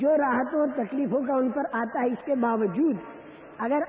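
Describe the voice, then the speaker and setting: A man with an extremely high-pitched voice speaks in fairly even intonation over noticeable background noise. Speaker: Islamic preacher. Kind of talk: religious sermon.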